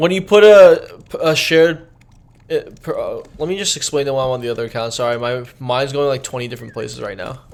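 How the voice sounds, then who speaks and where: A man speaks fairly quickly with lively intonation. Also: fairly high pitch for a man. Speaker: gaming streamer. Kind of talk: live gameplay tutorial stream. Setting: live stream. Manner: casual, halting with fillers; mumbling over words.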